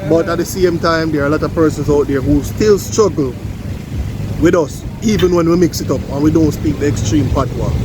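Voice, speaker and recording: A man with a Jamaican accent talks at a fairly quick pace in a fairly high pitch, with ordinary pitch variation. Noticeable background noise and audible room echo are present. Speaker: vlogger. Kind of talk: casual vlog chat.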